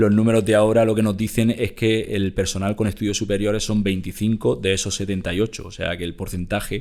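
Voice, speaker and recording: In an Andalusian accent, the speaker moves at a fairly quick pace with hardly any pauses and fairly even intonation, on a very clean recording with a silent background. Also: man, fairly low pitch for a man. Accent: Almería. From Almería, southern Spain. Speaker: company executive. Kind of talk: interview. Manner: halting, many repetitions.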